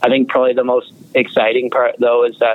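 The speaker has a Canadian accent and talks at a fairly quick pace in a monotone, flat intonation. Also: man. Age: young. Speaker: junior hockey goaltender. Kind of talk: interview.

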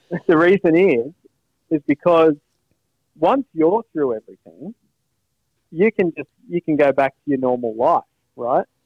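With an Australian accent, a man speaks at a moderate pace in a fairly high voice, with lively intonation and long, frequent pauses. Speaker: podcast co-host. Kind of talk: casual chat. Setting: phone call.

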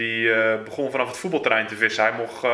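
Fairly even intonation marks this man's talk, delivered at a moderate pace. He has an unremarkable speaking voice pitched in the middle range. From Netherlands, South Holland (Gouda area). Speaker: carp angler. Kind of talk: casual interview.

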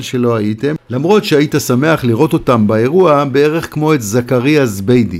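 A man with a plain, everyday voice and lively intonation speaks at a medium pitch on a very clean recording with a silent background. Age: 60s. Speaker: columnist. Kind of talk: reading aloud.

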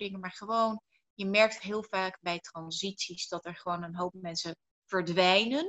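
This woman has a plain, everyday voice at a medium pitch. She speaks at a fairly slow pace with fairly even intonation. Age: 30s. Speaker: entrepreneur and speaker on personal growth. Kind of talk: interview.

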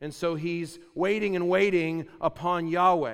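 A man's high-pitched voice at a fairly slow pace. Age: 30s. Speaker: preacher. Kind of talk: sermon. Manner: animated.

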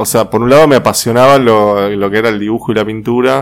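Talking at a very fast pace, a man with a Rioplatense accent shows ordinary pitch variation. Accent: Argentine Spanish (rioplatense). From Argentina, Rosario. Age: 40s. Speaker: paper artist and graphic designer. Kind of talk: interview. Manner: hesitant, many fillers.

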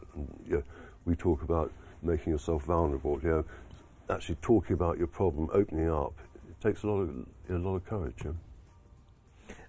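A very deep, low male voice with a dark, mellow tone and vocal fry, at a fairly quick pace with ordinary pitch variation and big swings in loudness, in a very clean recording with a silent background. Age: 60s. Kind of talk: casual interview chat. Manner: halting, hesitant.

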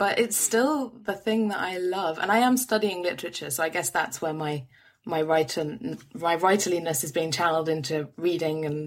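Speaking in a London accent with hardly any pauses, a woman uses a fairly low pitch. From London, England. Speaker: podcaster and writer. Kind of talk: casual interview.

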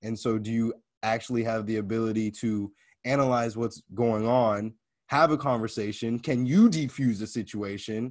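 A plain, everyday voice from a man with an American accent, medium in pitch, at a moderate pace with fairly even intonation, against a quiet background. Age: 20s. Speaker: podcast host and inspirational speaker. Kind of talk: casual conversation.

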